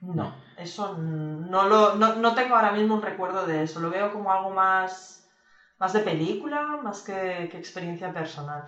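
A woman's medium-pitched voice, bright and sharp in tone, at a fairly slow pace with ordinary pitch variation, big swings in loudness, and audible room echo. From Spain. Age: 40s. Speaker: video game studio executive and producer. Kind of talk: casual interview.

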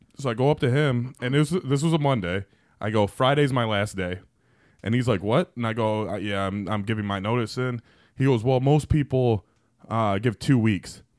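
A man speaks in an unremarkable speaking voice, medium in pitch with ordinary pitch variation, at a moderate pace. The recording is very clean, with a silent background. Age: 30s. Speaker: podcast co-host. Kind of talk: casual chat.

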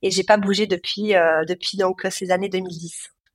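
Recorded very cleanly against a silent background, a woman of medium pitch talks at a fairly slow pace with fairly even intonation. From southwest France (Cahors, Lot). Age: 30s. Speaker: former elite swimmer and ocean paddler. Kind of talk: interview, personal storytelling. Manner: hesitant, many fillers.

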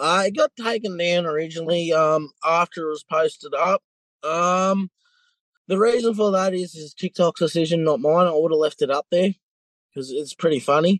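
Heard in a dry, close sound with no echo, the voice carries a strong Australian accent at a moderate pace with ordinary pitch variation. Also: man, high pitch for a man. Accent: broad Australian. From New South Wales, Australia. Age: 20s. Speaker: interviewee in a crime story. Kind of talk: casual interview.

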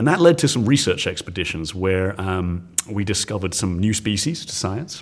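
This man has an English accent and a fairly low pitch. He talks at a fairly quick pace. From England. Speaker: science teacher. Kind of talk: interview. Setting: conference. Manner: energetic.

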